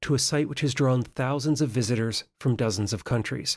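Somewhat breathy man's voice at medium pitch and moderate pace with ordinary pitch variation. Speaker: podcast host. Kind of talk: interview.

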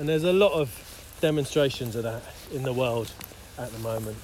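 Talking at a very fast pace, a man with a medium-pitched voice and ordinary pitch variation is heard amid noticeable background noise and audible room echo. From West London (Isleworth). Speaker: men's retreat leader. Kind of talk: interview. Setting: outdoors, walking through fields.

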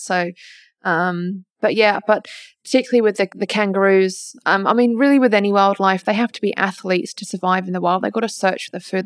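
Very fast speech from a woman with an Australian accent at a medium pitch, dry and close with no echo, in a very clean recording with a silent background. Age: 20s. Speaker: wildlife carer. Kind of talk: interview. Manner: hesitant, many fillers.

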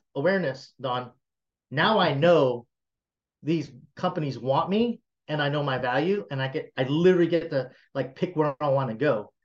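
With an American accent and an ordinary speaking voice, a man of fairly high pitch talks at a moderate pace with ordinary pitch variation. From US South, South Carolina. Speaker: tech entrepreneur. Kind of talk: interview.

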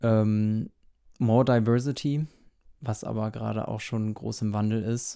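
A man's dark, mellow tone at a fairly low pitch, fairly slow, with long, frequent pauses. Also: fairly even intonation. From northern Germany, near Hamburg. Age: 20s. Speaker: fashion blogger and influencer. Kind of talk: casual interview.

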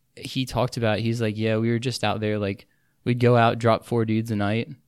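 A man speaks fairly quickly at a medium pitch with fairly even intonation, a plain, everyday voice on a very clean recording with a silent background. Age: 20s. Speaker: engineering student. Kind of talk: casual chat.

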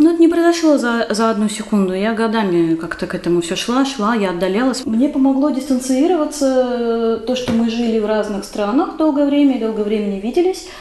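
A woman talks at a fairly quick pace with hardly any pauses, her pitch fairly high. Noticeable background noise is present. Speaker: writer and poet. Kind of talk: casual chat. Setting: recorded at the host's home.

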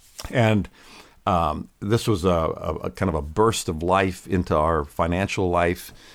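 A man's very deep, low voice in an American accent, with ordinary pitch variation, very even loudness and a fairly slow pace. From Pennsylvania, Lancaster County. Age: 60s. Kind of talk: podcast interview.

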